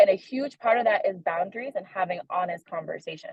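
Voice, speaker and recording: Her voice is somewhat breathy, a woman's at medium pitch. She talks at a fairly quick pace with ordinary pitch variation. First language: Haitian Creole. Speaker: young adult ministry leader. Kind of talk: sermon-style discussion. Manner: casual, conversational with many fillers.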